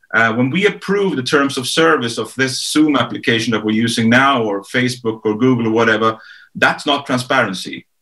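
A man with a Swedish accent talks at a fairly quick pace in a bright, sharp tone over a quiet background. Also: ordinary pitch variation. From Sweden. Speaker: author and strategist; guest. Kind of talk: panel discussion. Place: home room. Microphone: video call.

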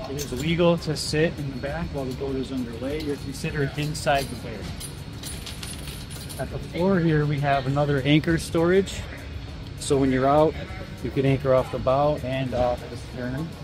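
Over clear background music, a man speaks at a moderate pace with long, frequent pauses and fairly even intonation, the sound dry with no echo. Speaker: boat salesperson. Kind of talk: product tour explanation. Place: hall.

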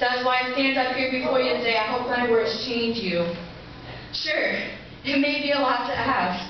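A woman speaks at a high pitch and moderate pace with ordinary pitch variation, amid strong room echo and light background noise. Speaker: spoken word poet. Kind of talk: spoken word poetry performance. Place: stage. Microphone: camera far.

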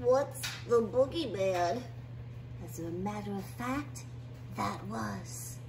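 A cartoonish character voice, female-sounding, with a very deep, low pitch for a woman. She speaks at a very slow pace over loud background noise. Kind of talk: puppet horror parody.

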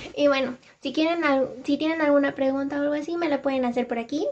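The speaker is a woman. She keeps her intonation fairly level. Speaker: TikTok storyteller. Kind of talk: casual storytelling.

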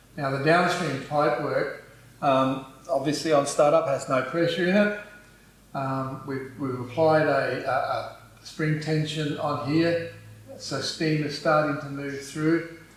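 Strong room echo surrounds the voice. A man talks at a fairly slow pace with fairly even intonation. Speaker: presenter. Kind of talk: tutorial. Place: office. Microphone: camera far.

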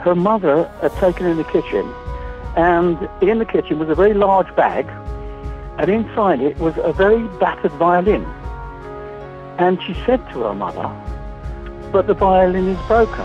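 With music playing in the background, a man speaks at a moderate pace, leaving long, frequent pauses. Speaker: auctioneer. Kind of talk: interview answer. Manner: storytelling, animated.

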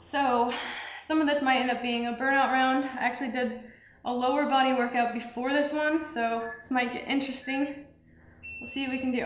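In a room with audible echo, a woman with a high pitch talks fairly quickly in a flat monotone. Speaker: fitness trainer. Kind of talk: workout instruction. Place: studio.

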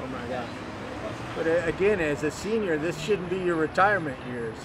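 A man talks at a moderate pace as noticeable background noise comes through. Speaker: homelessness advocate, interviewer. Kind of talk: interview questions. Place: street. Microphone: phone near.

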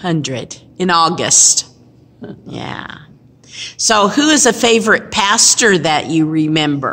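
Speaking very slowly with long, frequent pauses, a woman uses a fairly low pitch, very wide pitch swings and big swings in loudness. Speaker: pastor. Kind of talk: interviewer questions. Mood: warm, gentle, encouraging. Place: hall. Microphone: phone near.

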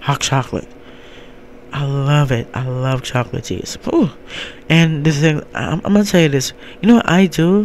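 With light background noise, a man speaks at a moderate pace in a fairly high, animated voice with lively intonation, taking long, frequent pauses. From US East Coast, mainly New Jersey; born in Jamaica. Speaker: podcast host and life coach; show host. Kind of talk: casual solo monologue. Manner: animated, halting with many fillers. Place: home room. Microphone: handheld.

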